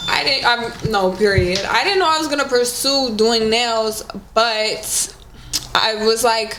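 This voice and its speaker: Against noticeable background noise and audible room echo, a woman with an American accent speaks fairly slowly at a fairly high pitch with ordinary pitch variation. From San Diego, California. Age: 20s. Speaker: nail technician and business owner. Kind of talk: casual chat.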